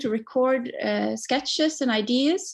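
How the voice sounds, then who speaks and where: With a Norwegian accent, the speaker goes at a fairly slow pace. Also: woman. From Norway. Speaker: singer-songwriter. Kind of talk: interview.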